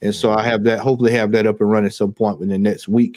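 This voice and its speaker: A man with a Southern US accent speaks at a fairly low pitch with fairly even intonation. The very clean recording has a silent background and a dry, close sound with no echo. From US South, Georgia. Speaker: football fan YouTuber. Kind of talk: live stream chat.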